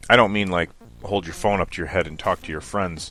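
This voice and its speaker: Fairly low male voice over music in the background. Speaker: gaming video commentator. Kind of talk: casual gaming commentary. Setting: low-quality microphone.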